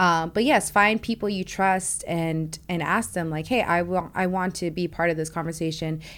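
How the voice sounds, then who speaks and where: With hardly any pauses, a woman keeps a moderate pace in a normal speaking voice, her fairly low pitch carrying fairly even intonation. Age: 20s. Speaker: tech sales account executive. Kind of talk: interview.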